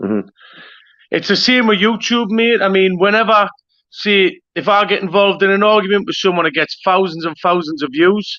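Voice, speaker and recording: Speaking with a Geordie accent, a man uses a high pitch, fairly even intonation and a moderate pace. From northern England, Newcastle. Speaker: YouTube interviewer. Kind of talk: interview.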